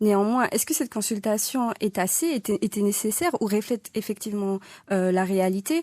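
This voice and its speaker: Speaking at a moderate pace, a woman has a medium pitch, ordinary pitch variation and a dark, mellow tone, heard in a dry, close sound with no echo. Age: young. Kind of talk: radio interview. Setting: radio studio.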